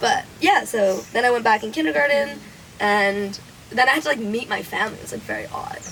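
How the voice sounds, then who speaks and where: Woman's fairly high voice at a fairly quick pace, with very wide pitch swings and music in the background. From Canada, with early childhood in China. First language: Chinese. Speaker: storyteller among friends. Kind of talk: casual chat.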